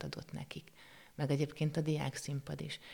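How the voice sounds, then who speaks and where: A woman's very deep, low voice with vocal fry, at a fairly quick pace. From Hungary, Székesfehérvár. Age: 40s. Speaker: art teacher and painter. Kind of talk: interview. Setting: studio. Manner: halting.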